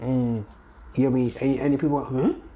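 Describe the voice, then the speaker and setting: The tone is animated, in a Birmingham accent. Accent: Birmingham (Brummie) English. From Birmingham, England. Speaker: gospel music producer and promoter. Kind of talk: casual interview chat. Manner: animated, laughing.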